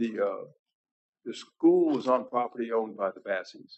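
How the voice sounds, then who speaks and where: A man talks at a moderate pace. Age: 60s. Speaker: applicant at city board meeting. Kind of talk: public hearing testimony.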